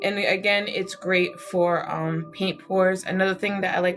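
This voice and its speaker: A woman talks at a medium pitch and a moderate pace. Noticeable background noise can be heard. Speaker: art YouTuber. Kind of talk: live product demo and review. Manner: casual, chatty with fillers.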